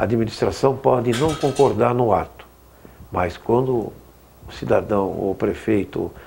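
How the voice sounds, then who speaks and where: At a fairly slow pace with long, frequent pauses, a man speaks in a dark, mellow tone at medium pitch with ordinary pitch variation. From Brazil, Osasco (São Paulo). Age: 70s. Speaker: city councillor. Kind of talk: interview.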